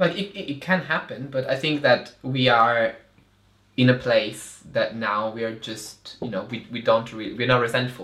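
A bright, sharp tone with an Italian accent, at a moderate pace with ordinary pitch variation. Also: man, medium pitch for a man. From Italy, Milan. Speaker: performance artist. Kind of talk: casual interview.

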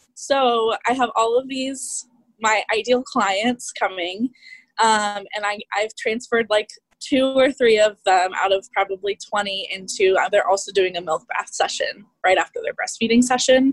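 Speaking fairly slowly, a woman with an American accent and a fairly high pitch has a plain, everyday voice, ordinary pitch variation, and a dry, close sound with no echo. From Kansas City. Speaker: family and boudoir photographer. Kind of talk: group coaching call.

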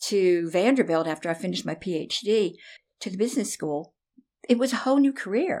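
The speaker talks at a moderate pace in a Southern US accent, captured on a very clean recording against a silent background. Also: woman. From US South, Nashville, Tennessee. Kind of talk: interview.

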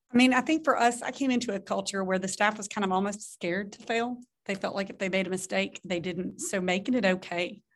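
The voice moves at a very fast pace with hardly any pauses, big swings in loudness and ordinary pitch variation against a quiet background. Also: woman, medium pitch for a woman. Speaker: association executive. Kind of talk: panel discussion. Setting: video call.

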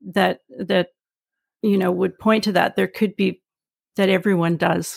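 With a Canadian accent and vocal fry, a woman speaks in a dry, close sound with no echo. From Vancouver, Canada. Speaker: psychotherapist and podcast host. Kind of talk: podcast intro and outro; casual interview.

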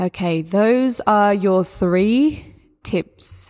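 Spoken with an Australian accent and ordinary pitch variation, the recording is very clean, with a silent background. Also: woman. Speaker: yoga teacher and spirituality coach. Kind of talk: solo podcast talk on spirituality and yoga. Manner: warm, gentle, encouraging.

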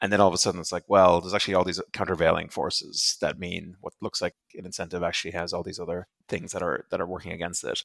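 The speech comes at a very fast pace in a monotone, flat intonation. The recording is very clean with a silent background. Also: man, very deep, low pitch for a man. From Ireland, raised mostly in Europe. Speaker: podcast host. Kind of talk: interview.

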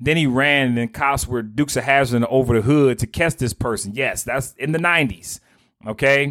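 With a dry, close sound and no echo, a man speaks in an animated tone at a moderate pace, his medium pitch showing ordinary variation. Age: 40s. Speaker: financial coach. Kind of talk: motivational monologue.

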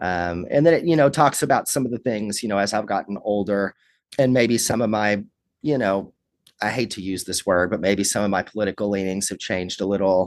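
A man at a fairly quick pace, fairly low in pitch, with ordinary pitch variation against a quiet background. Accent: Kentucky. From Kentucky, Lawrenceburg. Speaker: rock musician. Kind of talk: interview.

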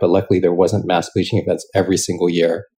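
A man speaks at a fairly quick pace in a very deep, low voice, dark and mellow in tone and somewhat breathy. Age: 40s. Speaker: venture capital founder. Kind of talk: interview.

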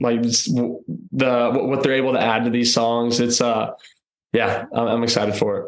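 Speaking in a Texan accent, a man keeps a monotone, flat intonation, medium pitch, moderate pace and very even loudness. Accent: Texan American. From Texas, North Austin. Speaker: country singer. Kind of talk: casual interview.

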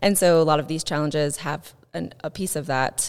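A woman's very deep, low voice with ordinary pitch variation and a Midwestern American accent, on a very clean recording with a silent background. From US Midwest, southern Indiana. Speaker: life coach and fitness specialist. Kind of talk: interview.

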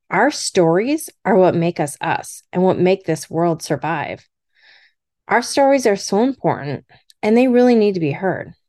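In a dark, mellow tone, a woman speaks fairly slowly at a medium pitch with very wide pitch swings against a quiet background. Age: middle-aged. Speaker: podcast host. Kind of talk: solo personal podcast monologue.

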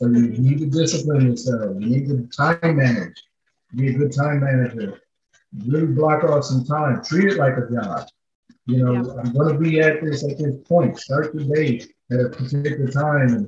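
With an American accent, a man speaks at a moderate pace. His somewhat breathy voice sits fairly high, with ordinary pitch variation. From Minnesota, St. Paul. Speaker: realtor. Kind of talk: podcast interview.

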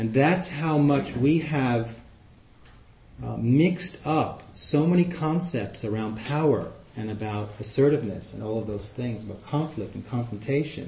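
In a normal speaking voice, a man with an American accent talks at a fairly slow pace and medium pitch, with lively intonation and big swings in loudness. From New York City, Queens. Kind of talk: talk to a group with discussion. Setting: live in-person group meeting.

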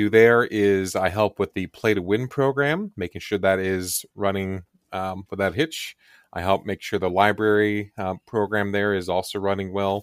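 A normal speaking voice from a man, fairly low in pitch, at a moderate pace with fairly even intonation, dry and close with no echo, on a very clean recording with a silent background. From Kansas, US Midwest. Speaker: board game convention organizer. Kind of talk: casual chat.

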